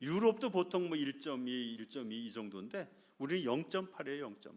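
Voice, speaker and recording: Pitch swings very widely as the words come at a fairly quick pace. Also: man. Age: 60s. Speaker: missionary preacher. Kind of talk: sermon. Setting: church.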